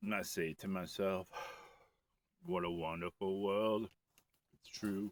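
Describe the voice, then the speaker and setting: With a relaxed tone and monotone, flat intonation, a man speaks fairly slowly at a fairly low pitch, his loudness swinging widely between long, frequent pauses, in a dry, close sound with no echo. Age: 60s. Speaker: outdoor vlogger. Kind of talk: casual walking vlog narration. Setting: outdoors on a frozen lake. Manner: relaxed, rambling with fillers.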